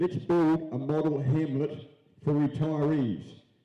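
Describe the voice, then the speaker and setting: A man with a fairly high-pitched voice and a dark, mellow tone speaks amid audible room echo. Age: 70s. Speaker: mayoral candidate. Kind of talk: candidate answer at public forum. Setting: auditorium with live audience.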